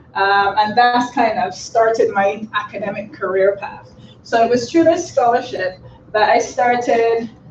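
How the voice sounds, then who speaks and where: Noticeable background noise runs under speech that unfolds at a fairly slow pace. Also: woman. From Barbados. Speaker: lecturer. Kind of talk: seminar presentation.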